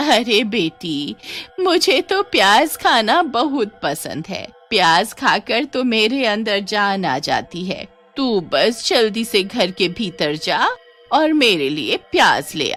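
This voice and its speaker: With faint music in the background, a woman puts on a cackling character voice with a fairly high pitch, very wide pitch swings and a fairly slow pace. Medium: read story. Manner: cackling, sly.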